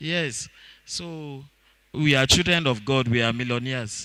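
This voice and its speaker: A man with a Nigerian accent speaks at a fairly high pitch in a bright, sharp tone with ordinary pitch variation. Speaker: fish farming trainer. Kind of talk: seminar talk. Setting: auditorium. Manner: halting, many fillers.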